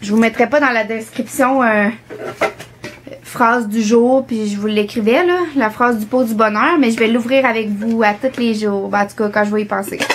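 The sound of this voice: A woman speaks with fairly high pitch at a moderate pace. Her pitch variation is ordinary.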